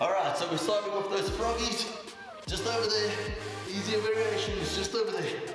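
A man is speaking with strong room echo. Clear music plays in the background. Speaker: fitness instructor. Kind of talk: workout instruction and counting. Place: home room. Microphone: camera far.

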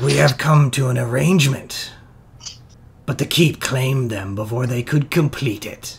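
A man puts on a raspy character voice at a medium pitch. He keeps a moderate pace with ordinary pitch variation. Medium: actual play. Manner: stern, guarded.

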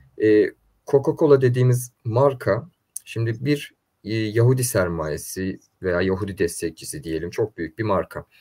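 Somewhat breathy and dark and mellow in tone, a man talks at a fairly slow pace with lively intonation. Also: quiet background. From Istanbul, Turkey (Üsküdar); Turkey. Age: 20s. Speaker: neuromarketing and political consultant; guest. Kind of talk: interview. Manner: hesitant, many fillers. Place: home room.

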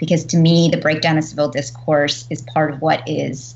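Over light background noise, a woman talks in a very deep, low voice. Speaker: panelist. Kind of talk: panel discussion introduction. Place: home room. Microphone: video call.

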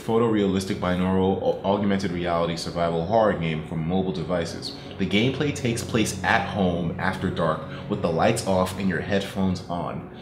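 Noticeable background noise behind a man's very deep, low voice. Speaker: gaming commentator. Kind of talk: commentary. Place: home room.

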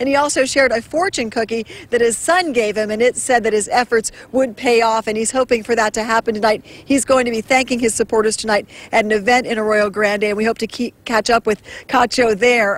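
A woman with a plain, everyday voice talks at a fairly quick pace and a fairly high pitch, with fairly even intonation and a dry sound with no echo. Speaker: TV reporter. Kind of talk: live field report. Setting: outdoors. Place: street. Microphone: handheld.

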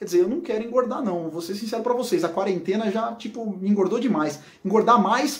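A man speaks at an extremely high pitch. His tone is animated. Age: 40s. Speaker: physics educator. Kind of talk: educational video explainer.

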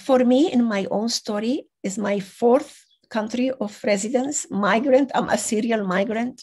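A woman with a non-native accent talks at a fairly slow pace, with hardly any pauses. Her fairly high pitch shows ordinary variation. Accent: foreign. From Venezuela. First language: not English. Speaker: conference speaker. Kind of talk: conference talk. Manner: halting.

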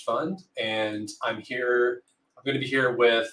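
A man talks at a moderate speed, and audible room echo surrounds him. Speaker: livestream host. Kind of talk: livestream introduction. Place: home room.

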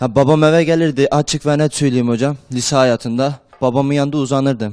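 Against a quiet background, a man speaks fairly quickly with fairly even intonation. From Turkey, Erzurum; Turkey. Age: 20s. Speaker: madrasa student; talk show guest. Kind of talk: TV interview. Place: studio. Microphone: handheld.

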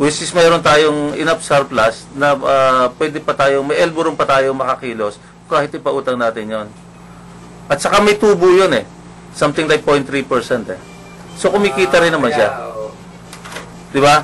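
A man's fairly high voice at a moderate pace, with long, frequent pauses over noticeable background noise. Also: ordinary pitch variation. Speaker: radio talk show host. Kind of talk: casual talk radio discussion. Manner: halting, many fillers.

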